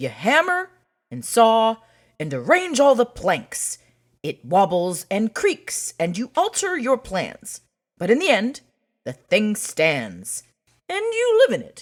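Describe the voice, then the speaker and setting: A man puts on a character voice pitched high. He speaks at a fairly slow pace, with big swings in loudness. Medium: read story. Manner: plainspoken.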